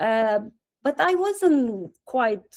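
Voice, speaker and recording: The background is silent and the recording very clean. The speaker is a woman. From Romania. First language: Romanian. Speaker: satsang participant. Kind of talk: Q&A sharing. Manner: halting.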